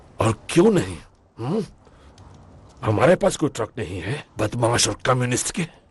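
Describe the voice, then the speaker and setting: A man puts on a character voice at medium pitch, swinging very widely in pitch at a moderate pace with long, frequent pauses. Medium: fan dub.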